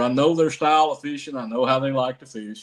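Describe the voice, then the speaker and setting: Using a plain, everyday voice, a man speaks at a fairly quick pace with medium pitch and ordinary pitch variation. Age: 60s. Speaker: professional bass angler. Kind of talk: casual interview chat.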